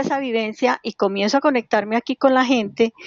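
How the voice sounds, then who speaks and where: A woman's plain, everyday voice, fairly high-pitched, at a moderate pace with ordinary pitch variation. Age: 60s. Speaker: cycling activist, collective founder. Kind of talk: interview.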